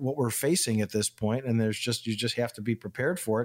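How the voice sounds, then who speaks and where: A man's fairly quick delivery comes in an ordinary speaking voice, with medium pitch and ordinary pitch variation. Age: 60s. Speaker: retirement financial advisor. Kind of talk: radio talk show conversation.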